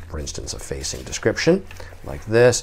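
There is light background noise. The voice belongs to a man. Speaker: book seller. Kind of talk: product demonstration commentary. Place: home room.

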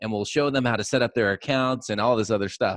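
A man speaks with ordinary pitch variation. The background is quiet and the sound is dry with no echo. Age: 40s. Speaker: podcast host, agency owner; podcast host. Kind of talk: casual interview chat. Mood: amused, laughing, relaxed. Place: studio. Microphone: studio mic.

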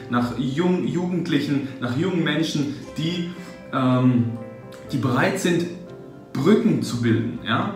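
A man's voice with clear background music and audible room echo. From Germany. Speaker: translator, interpreter, voice actor, German teacher. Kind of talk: interview answer. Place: office.

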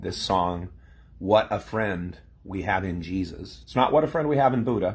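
At a moderate pace, a man talks in a fairly low, somewhat breathy voice with lively intonation. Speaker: former pastor. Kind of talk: casual vlog chat. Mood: reflective, wry. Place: home room. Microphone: phone near.

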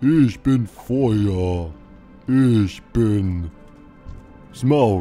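A man performs a put-on character voice. Faint music plays in the background. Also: fairly low pitch for a man. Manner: menacing, theatrical.

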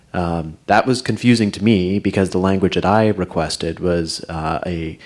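A man's very deep, low voice with ordinary pitch variation. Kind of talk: meeting report. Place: meeting room. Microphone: podium.

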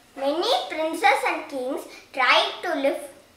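Over noticeable background noise, a woman speaks at a very slow pace in a high pitch with ordinary pitch variation. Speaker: storyteller. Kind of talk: scripted children's storytelling, fairy-tale narration. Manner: simple, clear, measured storybook pacing.

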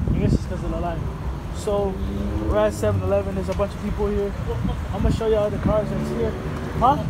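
The speech moves at a very fast pace. Loud background noise runs behind it. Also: man. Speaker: vlogger. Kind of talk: casual vlog chat. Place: station. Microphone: phone near.

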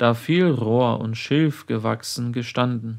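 A man at medium pitch, very slow pace and fairly even intonation, in a very clean recording with a silent background. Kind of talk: sermon read aloud. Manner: formal, solemn.

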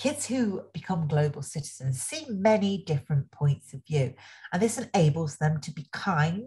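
Over a quiet background, a woman with a very deep, low pitch and a dark, mellow tone speaks somewhat breathily at a moderate pace with lively intonation. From England, Nottingham. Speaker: education speaker, former social worker. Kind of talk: webinar presentation. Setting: online webinar. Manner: enthusiastic. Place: home room. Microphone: webcam.

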